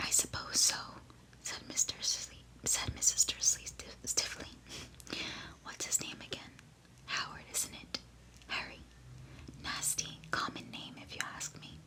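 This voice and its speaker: Whispering with big swings in loudness and long, frequent pauses, a woman is heard over noticeable background noise. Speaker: ASMR creator. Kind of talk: book reading, narrated story. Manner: whispered, soft-spoken.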